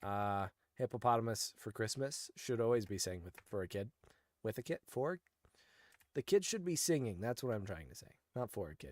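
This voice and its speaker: Lively intonation, an animated tone and big swings in loudness mark a medium-pitched man's speech, with long, frequent pauses on a very clean recording with a silent background. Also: moderate pace. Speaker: gaming streamer. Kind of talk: live gameplay commentary. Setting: live stream.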